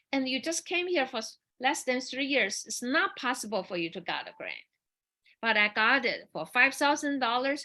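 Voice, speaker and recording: With a Chinese accent, a woman projects a raised voice at a high pitch and moderate pace, her tone bright and sharp and her intonation lively over a quiet background. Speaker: dancer and performer. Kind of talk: panel forum, personal storytelling. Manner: halting, many repetitions and fillers.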